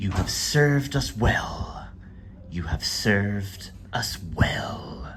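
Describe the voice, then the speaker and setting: A man speaks over noticeable background noise. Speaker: travel vlogger. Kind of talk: travel vlog narration. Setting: outdoors. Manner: casual.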